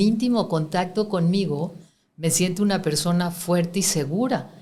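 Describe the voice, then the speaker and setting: In an unremarkable speaking voice, a woman talks fairly slowly at a fairly low pitch with ordinary pitch variation. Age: 60s. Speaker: spiritual teacher. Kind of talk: interview.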